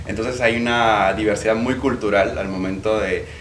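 With fairly even intonation, a man speaks at a fairly low pitch amid noticeable background noise and audible room echo. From Peru. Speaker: podcast co-host. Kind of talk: casual chat.

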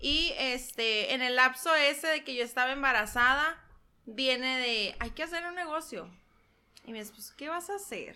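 The voice is raised and projected, with a bright, sharp tone. The recording is very clean and the background silent. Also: woman, high pitch for a woman, moderate pace. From Mexico, San Luis Río Colorado, Sonora. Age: 20s. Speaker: entrepreneur, shop owner. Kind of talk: casual interview. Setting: ranch, on location.

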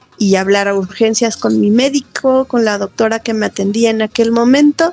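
Here a woman has a normal speaking voice. She speaks at a moderate pace with a fairly high pitch. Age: 40s. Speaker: CrossFit athlete and training facilitator. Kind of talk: personal testimony interview.

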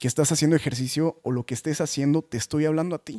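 This man's voice sits fairly high, captured in a very clean recording with a silent background and a dry, close sound with no echo. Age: 20s. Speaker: podcast host and motivational speaker. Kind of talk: casual monologue. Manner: animated.

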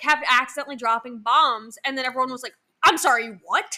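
A woman with a high pitch talks at a fairly quick pace in a raised, projected voice, her tone animated, bright and sharp, with ordinary pitch variation. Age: 20s. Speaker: podcast co-host. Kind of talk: casual chat.

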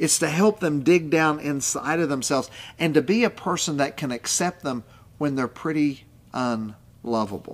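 With an Appalachian accent, a man speaks at a fairly slow pace in a fairly high pitch, with ordinary pitch variation. The recording is very clean, with a silent background. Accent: Appalachian American. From West Virginia coal fields. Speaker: pastor. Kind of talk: podcast teaching monologue.

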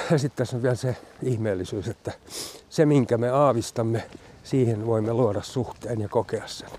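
A man with an unremarkable speaking voice talks at medium pitch, with fairly even intonation and a moderate pace. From Finland, Loviisa. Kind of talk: walking interview. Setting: outdoors, walking.

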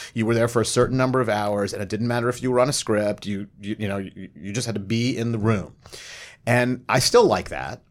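A man with a plain, everyday voice at medium pitch talks at a fairly quick pace with fairly even intonation, recorded very cleanly over a silent background. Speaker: TV writer and showrunner. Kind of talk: roundtable panel discussion.

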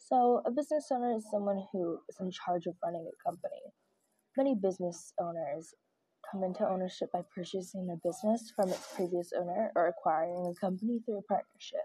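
A woman's somewhat breathy voice with a dark, mellow tone, medium pitch, ordinary pitch variation and a fairly quick pace. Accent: American. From Louisiana. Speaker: podcast host. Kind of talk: casual podcast talk, partly reading definitions.

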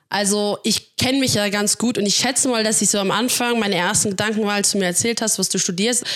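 Hardly pausing, a woman speaks at a fairly quick pace with medium pitch. Her loudness is very even. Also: fairly even intonation. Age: 20s. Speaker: church worker. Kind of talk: casual chat. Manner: fast.

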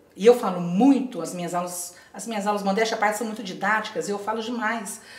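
This woman talks at a fairly quick pace amid noticeable background noise and audible room echo. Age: 50s. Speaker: retired teacher, patchwork entrepreneur. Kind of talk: interview.

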